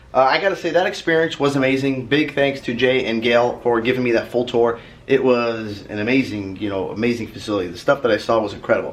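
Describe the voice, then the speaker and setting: A man's very fast, nearly pauseless delivery at a medium pitch, with ordinary pitch variation. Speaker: automotive vlogger. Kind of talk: casual vlog talk. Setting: hotel room.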